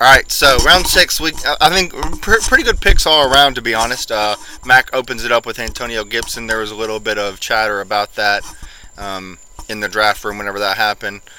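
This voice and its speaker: A man speaks at a fairly quick pace with a medium pitch and ordinary pitch variation. Noticeable background noise runs under the recording. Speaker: podcast host. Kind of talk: casual chat.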